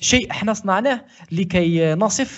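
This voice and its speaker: Speaking at a very slow pace with an Algerian accent, a man makes very wide pitch swings. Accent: Algerian Arabic with French code-switching. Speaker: podcast co-host. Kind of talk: casual chat.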